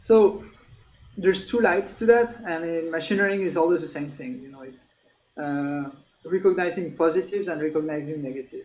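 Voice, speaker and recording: A man talks at a fairly quick pace with a strong French accent. His pitch is high. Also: ordinary pitch variation, big swings in loudness. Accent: French, self-described as strong. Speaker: tech company executive. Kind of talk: interview. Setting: livestream.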